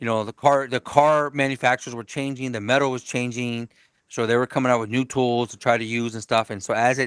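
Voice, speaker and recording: A medium-pitched man at a fairly quick pace, with monotone, flat intonation and big swings in loudness. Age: 40s. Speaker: auto body painter and car customizer. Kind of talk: casual podcast interview. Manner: halting, many repeated words.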